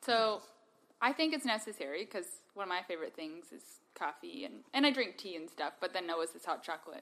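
The speech moves at a fairly quick pace, with very wide pitch swings and big swings in loudness. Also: woman, medium pitch for a woman. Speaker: podcast guest. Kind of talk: casual chat.

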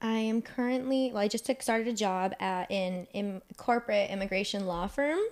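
A woman's fairly high voice with an American accent, a normal speaking voice at a moderate pace with hardly any pauses and ordinary pitch variation, on a very clean recording with a silent background. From US, Northern Virginia. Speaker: podcast co-host. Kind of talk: casual chat.

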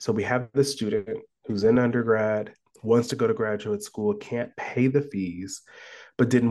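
A man with a Midwestern American accent and a medium pitch speaks at a fairly slow pace against a quiet background. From US Midwest (Columbus, Ohio). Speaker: professor. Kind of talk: interview about his book.

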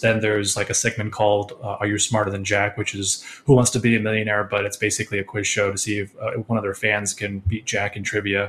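With an American accent, a man talks very fast at a fairly low pitch in a monotone, flat intonation. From Connecticut, US. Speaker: lighting designer. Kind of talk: interview.

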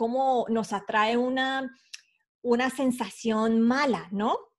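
Over a silent background in a very clean recording, a woman speaks very slowly with fairly even intonation. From Colombia (Bogotá). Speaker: personal finance expert. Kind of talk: interview.

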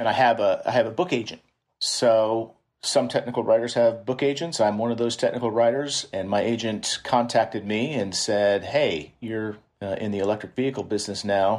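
Against a quiet background, a man with an American accent speaks at medium pitch, moderate pace and ordinary pitch variation. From Kansas City, US Midwest. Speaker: author and technical writer. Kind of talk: casual interview.

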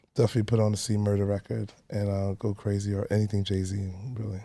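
With a Brooklyn accent, a man speaks very fast in a dark, mellow tone at a fairly low pitch. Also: very clean recording, silent background. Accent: New York (Brooklyn). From Brooklyn, New York City (Canarsie). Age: 30s. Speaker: personal trainer. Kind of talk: casual chat.

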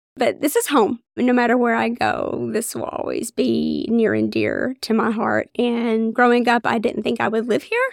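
With an Appalachian accent, a woman speaks at a moderate pace in a dry, close sound with no echo. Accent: Appalachian Kentucky. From Eastern Kentucky, Floyd County. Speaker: OBGYN physician. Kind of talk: interview conversation.

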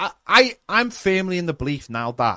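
A man with a Liverpool accent speaks at a moderate pace in a bright, sharp tone, recorded dry and close with no echo against a quiet background. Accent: Scouse. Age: 40s. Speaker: fan podcast host. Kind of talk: casual chat. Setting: live stream. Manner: animated.

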